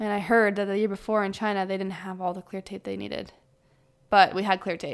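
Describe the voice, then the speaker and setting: Speaking with a Canadian accent at medium pitch, a woman talks at a very fast pace in a monotone, flat intonation on a very clean recording with a silent background. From Ottawa, Canada. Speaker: pro ice hockey player. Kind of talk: casual interview.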